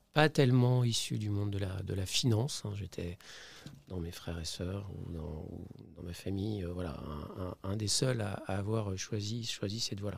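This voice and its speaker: Somewhat breathy, a man speaks in a fairly low pitch. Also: ordinary pitch variation, moderate pace. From France, Saint-Étienne (Auvergne-Rhône-Alpes). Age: 60s. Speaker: company CEO, investor. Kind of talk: podcast interview. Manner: hesitant, many fillers and repetitions.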